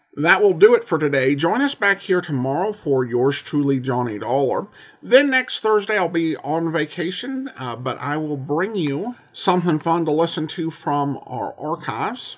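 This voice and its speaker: Pitch swings very widely as a man talks at a moderate pace, hardly pausing. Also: fairly high pitch for a man. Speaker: podcast host. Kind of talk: casual podcast host intro and outro.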